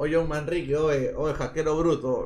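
A man talks over noticeable background noise. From Peru, Lima (Chorrillos). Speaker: live streamer. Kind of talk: casual live stream chat with betting commentary. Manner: animated.

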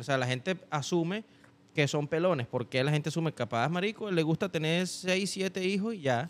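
With a Venezuelan accent, a man speaks at a fairly quick pace with ordinary pitch variation. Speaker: podcast guest, musician; podcast guest. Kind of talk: casual chat. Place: studio. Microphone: studio mic.

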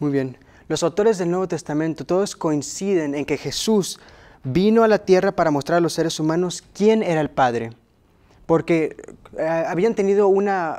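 Dark and mellow in tone, a man's high-pitched voice moves at a moderate pace with ordinary pitch variation. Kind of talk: Bible study discussion. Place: studio. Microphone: lapel.

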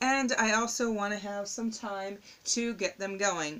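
A woman is talking. Her tone is bright and sharp. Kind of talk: tutorial. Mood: relaxed, slightly puzzled. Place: home room. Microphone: phone near.

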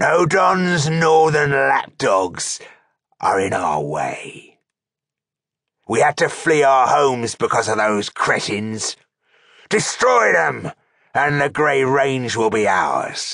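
A put-on character voice, raspy and growling, moves at a very slow pace. Long, frequent pauses break up the speech. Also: man, medium pitch for a man. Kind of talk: villain voice in an audiobook reading. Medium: read story. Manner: menacing, boastful.

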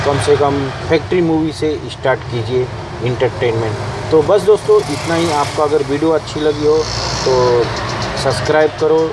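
Clear background noise sits behind a man with a fairly high pitch. His intonation stays fairly even.

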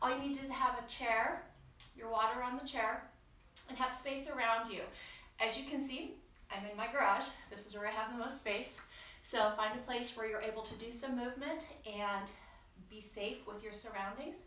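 A woman at a moderate pace with long, frequent pauses, big swings in loudness and audible room echo. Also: ordinary pitch variation. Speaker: fitness instructor. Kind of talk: exercise class instruction. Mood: warm, a little nervous. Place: garage. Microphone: camera far.

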